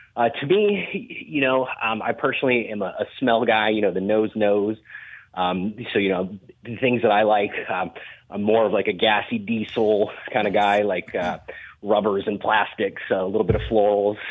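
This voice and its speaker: At a moderate pace, a man with an unremarkable speaking voice talks at a fairly low pitch with fairly even intonation. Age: 30s. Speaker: cannabis grower and consultant. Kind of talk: casual interview.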